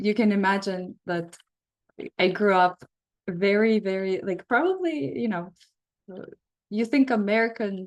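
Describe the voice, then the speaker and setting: A woman speaks with an Eastern European accent. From Belarus. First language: Russian. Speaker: psychotherapist leading a workshop. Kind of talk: online workshop talk. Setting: video call.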